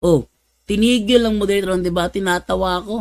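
A man speaks in a raised, projected voice at a high pitch. His intonation is lively. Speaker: religious apologist / Bible debater. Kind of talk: livestream religious talk, storytelling. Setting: live stream. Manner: animated, laughing often.

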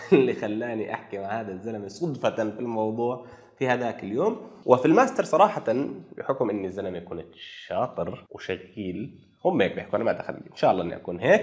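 A man talks at a fairly quick pace with lively intonation. His loudness swings widely, and the background is quiet. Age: 40s. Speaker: project management professional / YouTuber; YouTuber. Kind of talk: casual storytelling monologue. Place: home room. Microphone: lapel.

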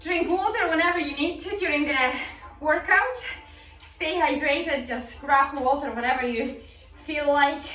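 Raising and projecting her voice, a woman speaks at a moderate pace with ordinary pitch variation, amid audible room echo and faint background music. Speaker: fitness instructor. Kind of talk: workout instruction. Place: home room.

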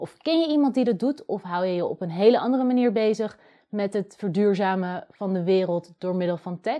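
A woman's dark, mellow voice at a fairly quick pace, with lively intonation and a quiet background. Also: medium pitch for a woman. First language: Dutch. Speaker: video host and coding student; video host. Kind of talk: scripted narration. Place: home room.

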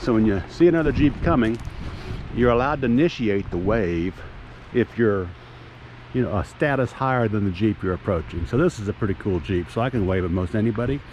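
A man talks at a fairly quick pace in a fairly low pitch, with an unremarkable speaking voice. The sound is dry with no echo, and there is light background noise. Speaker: travel vlogger. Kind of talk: casual vlog chat. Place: open country. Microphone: phone near.

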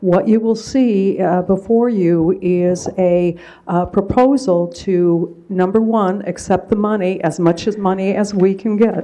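Speaking at a fairly slow pace, a woman uses a dark, mellow tone with fairly even intonation. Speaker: presenter. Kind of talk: formal presentation to a board. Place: meeting room. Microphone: podium.

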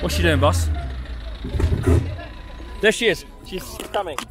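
A man's voice with a dry sound, no echo, and loud background noise. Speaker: wildlife photographer. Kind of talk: casual talk to camera on location. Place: open country. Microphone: phone near.

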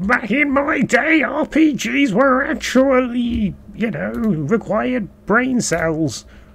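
In a put-on character voice, the speaker goes at a very slow pace yet with hardly any pauses. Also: man, extremely high pitch for a man. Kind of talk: grumpy, reminiscing.

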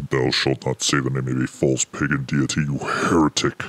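Very deep and low, a man's put-on character voice moves at a moderate pace with monotone, flat intonation. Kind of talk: archaic, scolding.

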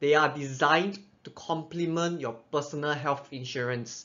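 Pitch variation in this man's voice is ordinary. He talks at a moderate speed. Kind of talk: explainer presentation. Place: home room.

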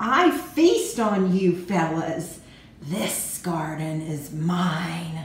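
Put on as a character, the voice hisses at a very slow pace. It sits at a middle pitch with a slight echo. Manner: hissing.

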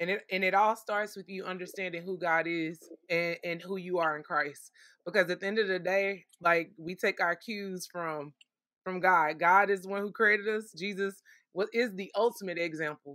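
A woman with an American accent has a plain, everyday voice at medium pitch. She keeps a moderate pace and fairly even intonation. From Texas, south side of Fort Worth. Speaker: podcast host and life coach. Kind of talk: casual faith-based interview.

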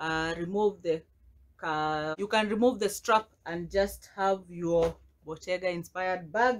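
Her pitch varying in an ordinary way, a woman speaks at a fairly slow pace. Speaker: haul vlogger. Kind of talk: casual vlog chat. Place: home room. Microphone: phone near.

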